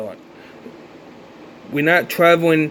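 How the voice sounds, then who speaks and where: A man at a fairly high pitch for a man, with noticeable background noise. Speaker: conspiracy vlogger. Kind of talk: casual monologue.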